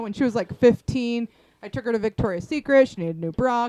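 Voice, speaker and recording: Recorded dry and close with no echo but with noticeable background noise, a woman speaks at a fairly high pitch with ordinary pitch variation. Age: 40s. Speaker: podcast guest, host's sister. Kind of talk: casual chat.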